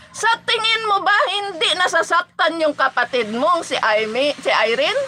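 Extremely high-pitched and animated, a woman's raised, projected voice swings very widely in pitch at very even loudness. She talks at a fairly slow pace with hardly any pauses, over noticeable background noise. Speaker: live-stream vlogger, political supporter. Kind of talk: angry rant, insulting political opponents in a livestream. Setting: live stream to online viewers. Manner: animated, scornful, loud and heated; mocking, laughs often.

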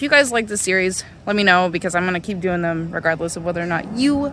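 A woman is speaking over light background noise. The sound is dry, with no echo. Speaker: car DIY vlogger. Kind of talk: casual vlog chat. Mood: upbeat, slightly wry. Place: street. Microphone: phone near.

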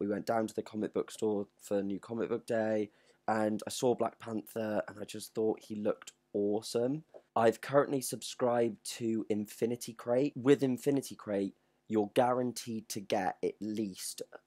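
Against a quiet background, a man with a dark, mellow tone talks at a moderate pace with fairly even intonation. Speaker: collector vlogger. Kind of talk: casual vlog chat, unboxing review. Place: home room. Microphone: webcam.

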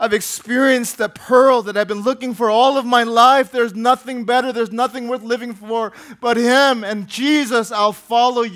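A man with an American accent speaks at an extremely high pitch with fairly even intonation and hardly any pauses. The background is quiet. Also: moderate pace. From US Midwest, Minneapolis. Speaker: pastor. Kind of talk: sermon. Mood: earnest, heartfelt near the end. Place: church. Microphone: headset.

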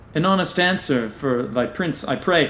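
At a moderate pace, a man speaks with a fairly high pitch and ordinary pitch variation over noticeable background noise. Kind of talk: scripted audio drama reading in Shakespearean-style verse, performing a character. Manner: archaic, theatrical, playful and mischievous, then suave when flirting.

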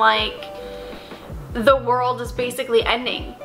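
A woman speaking at a fairly slow pace, with clear music in the background. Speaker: book reviewer. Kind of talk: casual talk to camera. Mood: exasperated about disappointing book. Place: home room.

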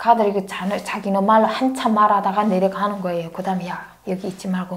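A woman talks at a fairly quick pace. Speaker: interview guest. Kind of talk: interview answer, storytelling. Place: studio. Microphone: lapel.

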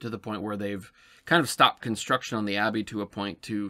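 A man's fairly low, bright and sharp voice in a flat monotone. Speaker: podcast host. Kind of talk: casual podcast monologue. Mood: calm, reflective. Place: home room.

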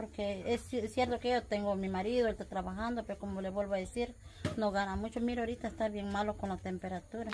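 A woman's fairly quick speech, with fairly even intonation, sits over light background noise. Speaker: interviewee. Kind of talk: interview answer. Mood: worried, pleading about money. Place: home room.

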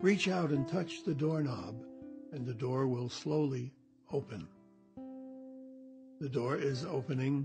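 A man's calm, fairly high voice at a fairly slow pace, with long, frequent pauses, ordinary pitch variation and music in the background. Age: 80s+. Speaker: meditation guide. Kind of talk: guided meditation. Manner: slow, calm.

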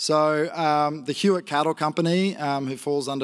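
Heard over a quiet background, the speaker uses a rural Queensland accent at a moderate pace with fairly even intonation. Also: man. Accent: Australian, rural Queensland. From northwest Queensland, Australia. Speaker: grazier and agtech entrepreneur; conference presenter. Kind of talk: conference presentation. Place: stage. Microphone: handheld.

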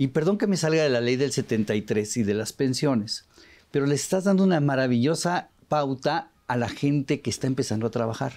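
The background stays quiet. A man talks at a moderate speed, his intonation lively. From Mexico. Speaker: radio show host. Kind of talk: casual interview. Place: studio. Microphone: lapel.

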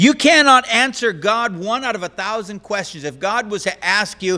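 A man speaks in a raised, projected voice with lively intonation and a bright, sharp tone. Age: old. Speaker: pastor. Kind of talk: sermon. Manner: conversational. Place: church. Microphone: podium.

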